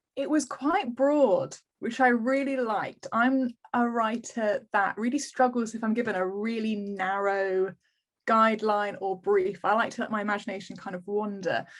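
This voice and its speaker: A woman speaks with an English accent in a fairly high voice with ordinary pitch variation. The background is quiet. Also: moderate pace. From England, Kent (Canterbury). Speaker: historical romance author. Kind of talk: interview. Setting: video call. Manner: many filler ums.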